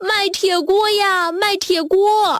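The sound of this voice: Using a put-on character voice at an extremely high pitch, a woman talks at a slow pace with a fairly bright tone and fairly even intonation.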